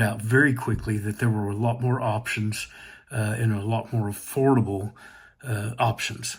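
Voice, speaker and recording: This man's medium-pitched voice is somewhat breathy and monotone, with flat intonation at a fairly slow pace. The recording is very clean, with a silent background. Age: 60s. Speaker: hearing aid customer. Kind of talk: testimonial. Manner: hesitant, many fillers.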